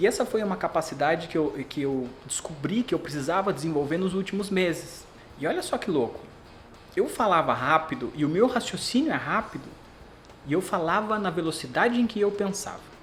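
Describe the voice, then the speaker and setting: A man with a high pitch talks at a fairly quick pace with lively intonation while music plays in the background. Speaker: brand protection specialist. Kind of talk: podcast interview. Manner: fast; animated.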